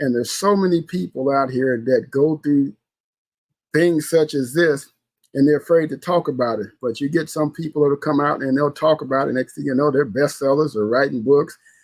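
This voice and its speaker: A man with an American accent speaks in a normal speaking voice at a moderate pace. His pitch is fairly high, with ordinary pitch variation. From US Midwest, St. Louis. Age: 60s. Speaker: podcast host. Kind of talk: casual solo podcast talk. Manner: conversational, repetitive with fillers.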